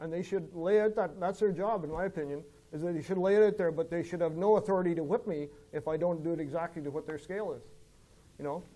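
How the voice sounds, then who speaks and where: Talking at a very fast pace, a man with an Ontario accent has a high-pitched voice with a dark, mellow tone and fairly even intonation. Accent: Canadian English, rural Ontario. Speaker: farmer and landowner association president. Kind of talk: seminar Q&A discussion. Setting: seminar with audience. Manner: mumbling; halting, many fillers.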